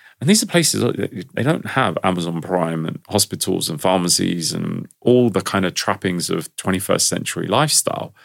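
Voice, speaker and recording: A man with a London accent, very deep, low pitch, lively intonation, a fairly quick pace and hardly any pauses. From London, England. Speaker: stress management expert. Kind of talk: interview.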